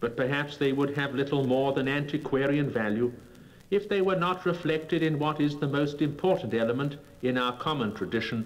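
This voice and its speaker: This man has a plain, everyday voice, fairly high in pitch with ordinary pitch variation. He talks at a fairly quick pace with very even loudness. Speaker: statesman giving political speeches. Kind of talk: formal political oratory. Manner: measured, eloquent, rhetorical.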